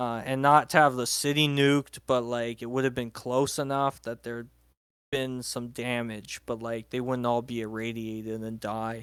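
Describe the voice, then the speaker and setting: The man's intonation is monotone and flat. He keeps a medium pitch and a moderate pace. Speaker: fiction writer. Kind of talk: casual chat.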